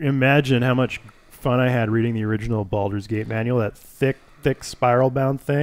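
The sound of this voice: Someone reads in an unforced voice. The intonation is fairly even.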